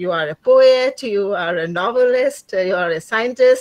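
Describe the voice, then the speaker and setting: The sound is dry with no echo. A woman talks at a very slow pace with lively intonation. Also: quiet background. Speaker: former classmate; webinar host or moderator. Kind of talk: warm praise to a panelist. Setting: video call. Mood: warm, admiring, smiling. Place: home room. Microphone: video call.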